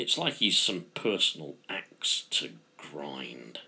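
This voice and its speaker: The voice has a bright, sharp tone. Vocal fry runs through it. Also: man. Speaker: author reading own story. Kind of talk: fiction reading.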